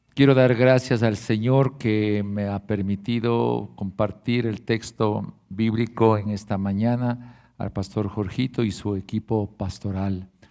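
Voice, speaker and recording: Very slowly and with hardly any pauses, a man speaks in a fairly low, dark and mellow voice with monotone, flat intonation. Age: 70s. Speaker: guest pastor and preacher. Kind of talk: sermon. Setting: church service.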